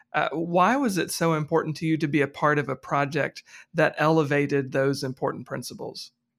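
A man's fairly high, ordinary speaking voice at a fairly quick pace, fairly even in intonation, in a very clean recording with a silent background. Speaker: podcast host. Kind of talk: interview.

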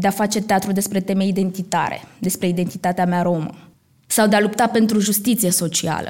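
A monotone, flat delivery from a woman at medium pitch. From Romania, Roma community. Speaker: actress. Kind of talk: live stage talk. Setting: stage with audience.

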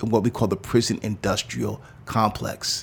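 A plain, everyday voice from a man with an American accent. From New York City. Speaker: pastor. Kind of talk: interview.

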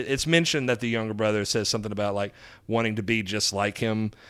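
A medium-pitched man's voice with a Southern US accent. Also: very clean recording, silent background. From US South, Alabama. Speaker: comedian. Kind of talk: casual chat.

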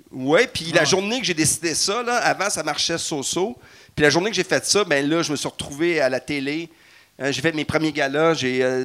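In a Quebec accent, a man speaks at a fairly high pitch. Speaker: comedian and former nurse. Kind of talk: live stage show chat. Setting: stage with audience.

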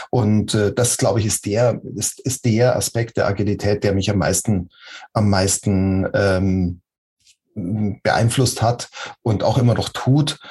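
A man speaks at a very slow pace in a somewhat breathy voice with a dark, mellow tone. His pitch is fairly low and his intonation fairly even. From Munich, Bavaria. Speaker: agile coach. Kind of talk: interview. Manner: halting.

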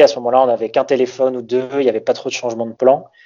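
His words come out very fast. The man's pitch is in the middle range. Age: 20s. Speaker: baseball content creator. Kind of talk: interview.

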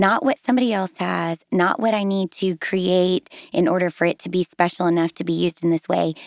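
Recorded very cleanly against a silent background with a dry, close sound and no echo, a woman at medium pitch speaks at a fairly quick pace with lively intonation in an ordinary speaking voice. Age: 40s. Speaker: devotional writer. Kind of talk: casual chat. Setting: studio.

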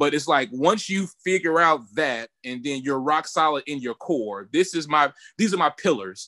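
In a dry, close sound with no echo, a man speaks at a moderate pace with a fairly high pitch, a bright, sharp tone and lively intonation. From Mississippi, military family. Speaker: university band director. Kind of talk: casual interview.

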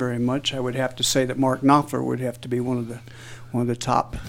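Talking at a very fast pace, a man with an American accent uses a medium pitch. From southeast Missouri, US. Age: 60s. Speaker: musician. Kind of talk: interview.

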